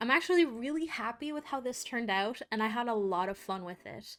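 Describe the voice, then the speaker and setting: On a very clean recording with a silent background, a woman talks at a fairly quick pace in a fairly high voice with lively intonation. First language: Portuguese. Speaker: artist and YouTuber. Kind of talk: casual voiceover narration.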